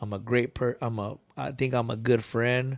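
A man's unremarkable speaking voice at a medium pitch and moderate pace, with fairly even intonation over a quiet background. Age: 30s. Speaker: community organizer, business owner. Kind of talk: casual chat. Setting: studio.

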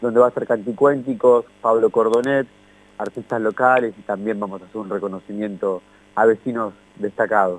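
The speech moves at a fairly quick pace with ordinary pitch variation. The sound is dry and close, with no echo. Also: man. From Argentina, Banfield. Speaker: community event organizer. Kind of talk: radio interview.

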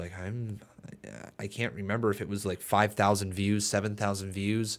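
Fairly low pitch from a man, captured on a very clean recording against a silent background. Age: 20s. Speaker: wrestling YouTuber and live streamer. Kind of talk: casual solo podcast monologue. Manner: rambling, tangential; halting, with frequent fillers.

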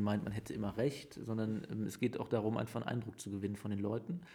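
Somewhat breathy and dark, mellow in tone, a man's fairly low voice keeps fairly even intonation. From Germany, Aachen area. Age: 30s. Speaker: mayor. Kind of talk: interview. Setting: mayor's office.

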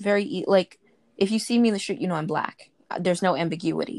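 This woman speaks with an American accent. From US Northeast, Brooklyn. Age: 20s. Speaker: interviewee, survey respondent. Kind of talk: casual interview.

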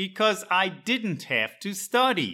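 A man's very slow, bright, sharp voice with an American accent, on a very clean recording with a silent background. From Chicago, Illinois, US. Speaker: English teacher. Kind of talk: scripted narration. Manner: slow, clear.

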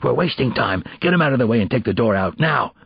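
A put-on character voice whispers and growls at a very fast pace. Its loudness stays very even. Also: man. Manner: harsh, urgent whisper.

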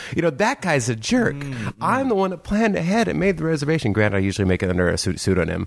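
A man talks at a very fast pace with very wide pitch swings and hardly any pauses, over noticeable background noise. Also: fairly high pitch for a man. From San Diego, California. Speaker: podcast host. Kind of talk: casual chat.

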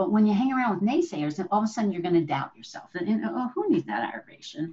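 A woman speaks at a medium pitch with a dark, mellow tone, somewhat breathy, and her pitch swings very widely. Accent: American. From New Jersey. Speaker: leadership consultant and entrepreneur. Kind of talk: interview.

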